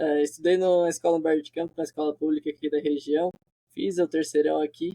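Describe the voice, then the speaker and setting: Speaking at a very fast pace, a man uses a fairly high pitch, a dark, mellow tone and monotone, flat intonation, with a dry, close sound and no echo. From southern Brazil, Santa Catarina (Criciúma). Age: 20s. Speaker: software developer. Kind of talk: interview.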